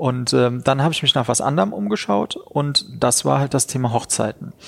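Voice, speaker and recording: A man's normal speaking voice at medium pitch, moderate pace and lively intonation. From Rhineland-Palatinate, Germany (Neuwied area). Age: 30s. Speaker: wedding venue owner and entrepreneur. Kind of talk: interview.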